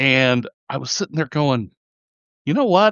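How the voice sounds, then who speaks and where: A man with an American accent speaks fairly slowly. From California. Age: 60s. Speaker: magazine publisher and editor. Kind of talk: podcast interview. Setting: podcast.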